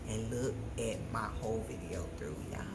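A woman talks with music in the background. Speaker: home cooking vlogger. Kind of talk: casual vlog chat and tutorial. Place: kitchen.

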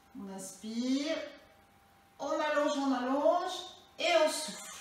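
Strong room echo surrounds a woman speaking at a high pitch. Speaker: fitness instructor. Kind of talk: exercise class instruction. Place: home room. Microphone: camera far.

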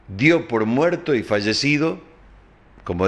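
Speaking at a fairly slow pace, this man has an animated tone and lively intonation. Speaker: TV news host. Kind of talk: news commentary show.

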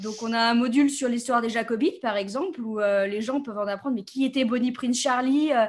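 A woman talks at a fairly quick pace. Her pitch shows ordinary variation. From France, south of Paris. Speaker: game designer; interviewee. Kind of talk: interview. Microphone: video call.

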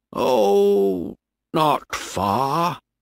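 This man uses a put-on character voice pitched fairly low. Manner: slow, hesitant, evasive.

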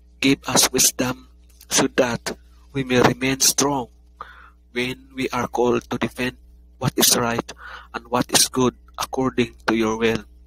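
Fairly slow, solemn speech with a dry, close sound and no echo, amid noticeable background noise. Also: man. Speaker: prayer leader. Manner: earnest, solemn, pleading; slow, measured, reverent.

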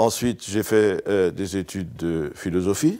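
A man speaks with an Alsatian accent and ordinary pitch variation. The background is quiet. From Alsace, France. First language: Alsatian (speaking French). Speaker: writer and former pastor; former pastor. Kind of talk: interview monologue. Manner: hesitant with fillers. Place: studio.

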